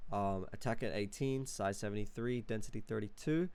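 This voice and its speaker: A man speaks at a fairly quick pace with ordinary pitch variation. Audible echo fills the room. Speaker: music producer. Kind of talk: tutorial. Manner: many filler words, casual.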